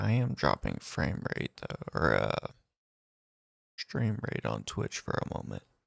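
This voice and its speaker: A soft-spoken man whispers with vocal fry and a rumbling quality, the sound dry and close with no echo. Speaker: gaming streamer. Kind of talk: live game stream chat. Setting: home streaming at night. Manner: soft-spoken, near whisper. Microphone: clipping, cutting out, no pop filter.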